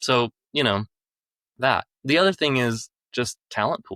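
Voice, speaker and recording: A bright, sharp tone carries an American accent with ordinary pitch variation. The sound is dry and close with no echo, on a very clean recording with a silent background. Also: man. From United States. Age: 40s. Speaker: business owner, staffing firm executive. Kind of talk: podcast interview.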